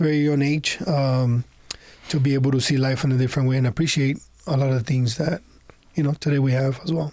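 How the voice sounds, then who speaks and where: Talking at a fairly quick pace, a man has a dark, mellow tone and a monotone, flat intonation. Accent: Spanish. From Honduras. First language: Spanish. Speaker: entrepreneur. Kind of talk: podcast interview. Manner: halting, with many fillers.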